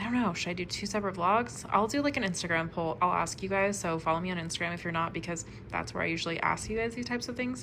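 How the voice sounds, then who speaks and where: The speech comes at a very fast pace with lively intonation. Room echo is audible. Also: woman. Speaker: book vlogger. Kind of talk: casual vlog talk to camera. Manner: animated.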